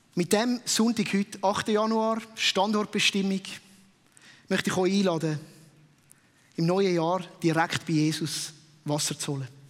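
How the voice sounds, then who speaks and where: A man speaks with a high pitch at a fairly slow pace. His pauses are long and frequent. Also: ordinary pitch variation. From Switzerland, Winterthur area. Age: 30s. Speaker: pastor. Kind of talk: sermon. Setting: stage with audience.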